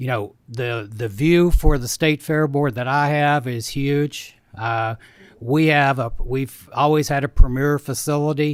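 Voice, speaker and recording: The recording is very clean, with a silent background. A man with an American accent speaks at fairly high pitch and a fairly slow pace, his intonation fairly even. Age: 60s. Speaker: bank president and fair board appointee. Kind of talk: committee testimony. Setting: state senate committee hearing.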